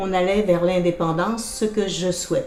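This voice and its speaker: A woman talks at a moderate pace with audible room echo. Music plays in the background. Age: 60s. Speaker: political candidate. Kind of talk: interview.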